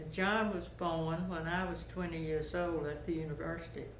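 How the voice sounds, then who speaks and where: In a room with audible echo, a woman with a Georgia accent speaks at a moderate pace. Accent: Southern US, Georgia. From US South. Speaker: interviewee sharing life memories. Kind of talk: oral history interview.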